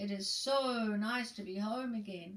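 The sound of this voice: This is a put-on character voice. It moves fairly slowly. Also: woman.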